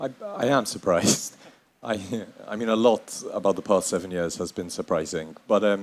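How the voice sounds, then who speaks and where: A man speaks with a fairly low pitch. His pitch varies in an ordinary way. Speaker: author and journalist. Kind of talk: panel discussion. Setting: stage with audience. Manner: slow.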